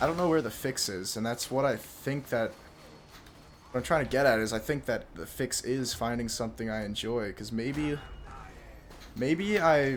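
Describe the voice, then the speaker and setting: A soft-spoken man at a medium pitch, with ordinary pitch variation and long, frequent pauses, heard against audible room echo. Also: moderate pace. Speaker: YouTuber and streamer. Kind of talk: casual monologue vlog. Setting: late at night at home. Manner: quiet, soft-spoken; hesitant, full of fillers.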